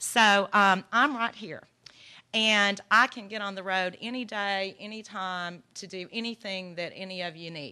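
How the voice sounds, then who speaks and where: In a Texan accent, the speaker goes at a fairly slow pace with fairly even intonation. The tone is bright and sharp over a quiet background. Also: woman. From Texas. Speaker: legal aid organization director. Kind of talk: conference presentation. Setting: workshop with audience.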